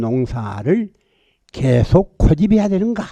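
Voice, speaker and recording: A man's fairly high voice, dark and mellow in tone, with very wide pitch swings. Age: 80s+. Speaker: petitioner representative, solar farm investor. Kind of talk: formal petition presentation to council committee. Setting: county council committee hearing. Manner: blunt, forceful.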